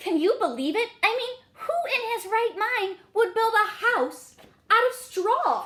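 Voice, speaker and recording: Here a woman does a put-on character voice at an extremely high pitch. Her pace is fairly slow. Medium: read story. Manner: conversational, self-justifying.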